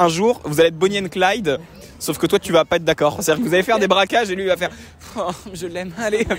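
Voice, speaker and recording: Speaking at a very fast pace, a man with a high pitch uses ordinary pitch variation and an animated tone. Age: 20s. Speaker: comedian. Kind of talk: storytelling to camera; casual chat.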